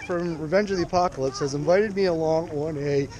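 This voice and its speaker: A man at a moderate pace, dry sound with no echo, and noticeable background noise. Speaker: urban exploration vlogger. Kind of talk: casual vlog chat. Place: open country. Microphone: phone near.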